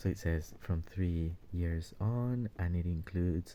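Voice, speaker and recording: A soft-spoken man talks with a very deep, low pitch and a dark, mellow tone. The recording is very clean, with a silent background. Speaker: toy collector YouTuber. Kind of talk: product review. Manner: halting.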